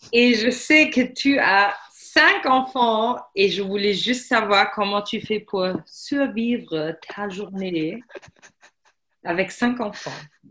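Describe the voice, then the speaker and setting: A woman with a German accent speaks at a very slow pace in a fairly high pitch. Her tone is bright and sharp, with ordinary pitch variation. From Germany. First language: German (speaking French). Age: 30s. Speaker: language teacher. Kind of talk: casual chat.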